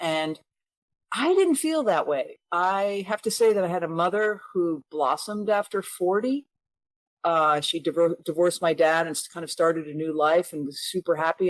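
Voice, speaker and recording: Heard dry and close with no echo, a woman with a plain, everyday voice speaks at a fairly low pitch and a moderate pace, with ordinary pitch variation. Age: 50s. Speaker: author. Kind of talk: interview answer.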